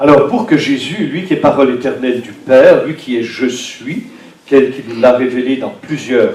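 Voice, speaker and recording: A man speaks with a fairly high pitch. Room echo is audible, along with noticeable background noise. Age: 60s. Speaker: priest. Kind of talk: sermon.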